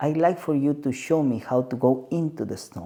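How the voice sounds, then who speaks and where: A man's dark, mellow voice with a Peruvian accent. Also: very clean recording, silent background. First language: Spanish. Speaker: spiritual guide. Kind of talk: podcast conversation. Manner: halting.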